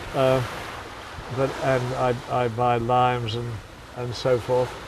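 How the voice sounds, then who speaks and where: Noticeable background noise and audible room echo surround this fairly slow, monotone delivery with flat intonation and long, frequent pauses. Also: man. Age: 80s+. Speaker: hotelier. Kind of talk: interview.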